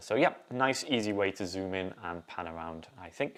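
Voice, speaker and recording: The speaker has an English accent. Pitch varies in an ordinary way. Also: man. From northern England, Yorkshire (Ossett). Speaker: assistive technology specialist, co-host. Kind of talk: live show chat; tutorial. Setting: live stream.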